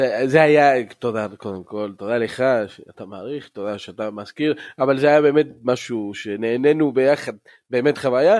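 Speaking at a moderate pace, a man with an unremarkable speaking voice and medium pitch shows big swings in loudness. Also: very clean recording, silent background. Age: 40s. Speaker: podcast host, football ultras fan. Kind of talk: casual chat.

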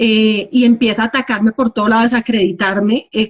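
Somewhat breathy and fairly high in pitch, a woman speaks at a moderate pace with fairly even intonation. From Colombia. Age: 40s. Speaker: cosmetologist sharing recovery story. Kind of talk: testimony. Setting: live Instagram video call.

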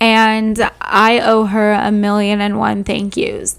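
Speaking very slowly at a fairly high pitch, a woman keeps her intonation flat and monotone. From Southern California. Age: 20s. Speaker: podcast host. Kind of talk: casual solo podcast monologue.

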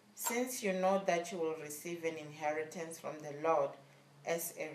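With a normal speaking voice, a woman talks fairly slowly at a fairly low pitch with ordinary pitch variation. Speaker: church service assistant. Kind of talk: reading aloud testimony, announcements and scripture. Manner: formal, measured reading.

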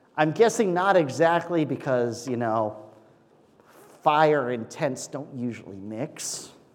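Against audible room echo, a man talks very slowly with lively intonation and a fairly high pitch. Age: 30s. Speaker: pastor. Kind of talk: sermon. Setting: church.

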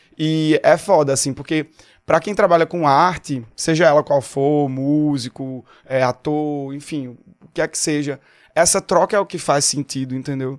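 This man speaks at a moderate pace with a fairly high pitch and fairly even intonation. The sound is dry and close with no echo, on a very clean recording with a silent background. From Pernambuco, Brazil (Agreste). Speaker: singer-songwriter. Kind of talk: casual chat. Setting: studio.

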